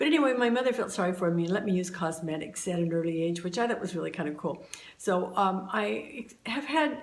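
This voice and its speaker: Over noticeable background noise and audible room echo, a woman with an American accent talks fairly quickly at medium pitch. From Southern California. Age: 70s. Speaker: YouTuber sharing beauty tips. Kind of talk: casual tutorial. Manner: hesitant, many fillers.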